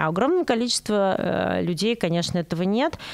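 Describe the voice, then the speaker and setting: Over noticeable background noise, a woman at a medium pitch talks with lively intonation. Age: 30s. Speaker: psychologist / analyst. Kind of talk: casual chat.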